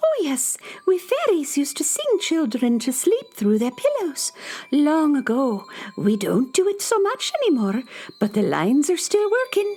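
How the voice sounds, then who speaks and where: A high-pitched, put-on character voice with very wide pitch swings. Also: moderate pace. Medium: audio drama.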